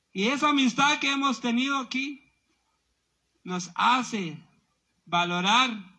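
A raised, projected voice with a bright, sharp tone moves at a very slow pace through very wide pitch swings. The background is quiet. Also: man. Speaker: speaker. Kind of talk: rally speech. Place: tent.

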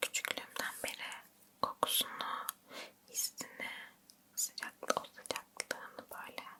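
Someone whispers at a very slow pace. Noticeable background noise can be heard. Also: woman. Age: 20s. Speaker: ASMR creator. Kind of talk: whispered chat about first tattoo experience. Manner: slow, whispering, soft.

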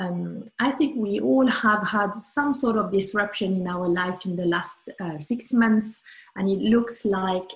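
A somewhat breathy woman's voice at medium pitch, with ordinary pitch variation and a fairly slow pace. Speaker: sophrologist. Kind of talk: guided meditation. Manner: calm, soothing. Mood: calm, warm. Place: home room. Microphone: webcam.

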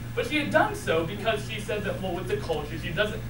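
A man speaks over noticeable background noise. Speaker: college student. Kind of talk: personal eulogy at a funeral, telling a family story about his late mother. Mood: grieving but warm storytelling. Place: hall. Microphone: camera far.

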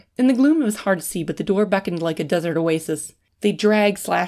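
Lively intonation marks an unforced reading voice heard over a quiet background.

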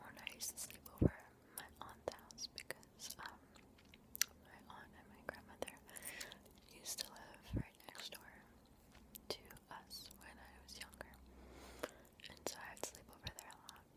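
A soft-spoken woman is whispering. She leaves long, frequent pauses. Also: moderate pace. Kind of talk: soft-spoken casual Q&A chat. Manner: soft close whisper, slow rambling. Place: home room. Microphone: webcam.

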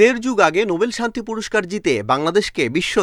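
Over a silent background in a very clean recording, a man's voice moves through very wide pitch swings. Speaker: TV news reporter. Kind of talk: scripted news narration.

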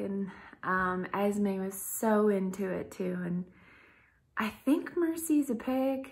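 Against a quiet background, a woman speaks in a somewhat breathy, medium-pitched voice with ordinary pitch variation. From Kentucky. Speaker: vlogger; pregnant mother vlogger. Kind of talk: casual vlog monologue. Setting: at home in Idaho. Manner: hesitant, many fillers. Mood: relaxed, chatty. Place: home room. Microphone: phone near.

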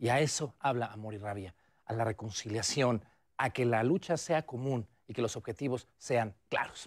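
Ordinary pitch variation at a moderate pace, quiet background. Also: man. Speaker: TV presenter. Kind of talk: theater recommendation segment to camera. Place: studio.

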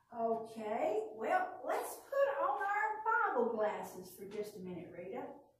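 Audible room echo around a woman's very slow speech. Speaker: presenter. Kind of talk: children's puppet skit dialogue. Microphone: camera far.

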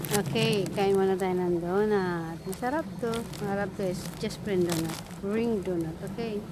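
A woman speaks at a medium pitch and a fairly slow pace, with ordinary pitch variation. The sound is dry with no echo, though there is noticeable background noise. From Philippines. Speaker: vlogger. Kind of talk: casual vlog. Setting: outdoors. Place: garden. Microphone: phone near.

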